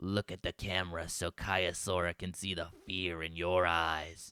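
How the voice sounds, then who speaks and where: A man puts on a raspy character voice, very deep and low, speaking at a moderate pace in monotone, flat intonation with a dry, close sound and no echo. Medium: read story. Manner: sneering, threatening.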